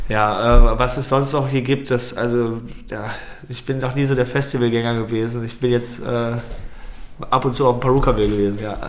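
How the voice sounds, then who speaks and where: Over noticeable background noise and audible room echo, a man speaks at a moderate pace with a medium pitch and monotone, flat intonation. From Germany, Lippstadt (Westphalia). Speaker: techno DJ and party promoter. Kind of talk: casual interview.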